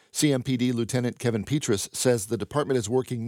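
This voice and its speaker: In a very clean recording with a silent background, a man talks at a fairly quick pace. His voice is medium in pitch and is an ordinary speaking voice. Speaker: radio news host. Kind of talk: newsreading. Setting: studio. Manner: formal, even-paced and neutral; crisp and matter-of-fact.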